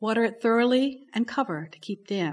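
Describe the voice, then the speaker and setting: A woman with a normal speaking voice talks at a moderate pace with lively intonation. The recording is very clean, with a silent background. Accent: American. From Baltimore, Maryland. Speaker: poet. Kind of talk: poetry reading. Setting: library event with audience.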